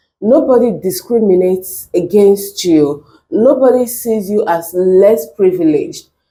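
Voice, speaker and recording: Lively intonation colors a dark, mellow tone. The pace is fairly slow. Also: woman, medium pitch for a woman. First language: not English. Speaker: reaction video creator. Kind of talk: reaction commentary.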